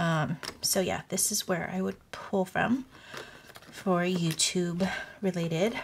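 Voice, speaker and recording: A woman talks very slowly over light background noise. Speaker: budgeting vlogger. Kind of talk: casual vlog chat. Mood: relaxed, friendly. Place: home room.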